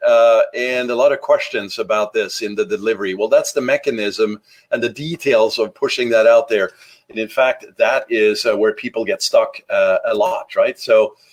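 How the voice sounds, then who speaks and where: A man at a moderate pace, with a slight Norwegian accent. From Norway. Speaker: marketing podcaster. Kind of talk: solo podcast talk. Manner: casual with many fillers.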